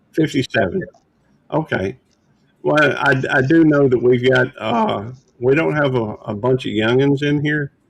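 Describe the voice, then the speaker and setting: At a fairly slow pace, a man uses an ordinary speaking voice, medium in pitch with ordinary pitch variation. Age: 60s. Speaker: livestream host. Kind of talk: casual chat.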